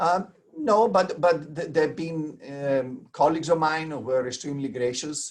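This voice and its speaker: With an Italian accent, a man talks at a moderate pace. His pitch is fairly high with ordinary variation. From Italy. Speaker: transplant surgeon. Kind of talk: interview. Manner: halting, many fillers.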